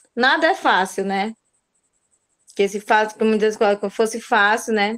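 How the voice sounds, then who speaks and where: Delivery is fairly slow. The pitch moves in an ordinary way. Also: woman, fairly high pitch for a woman. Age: 40s. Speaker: pedagogy student. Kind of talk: class self-introduction.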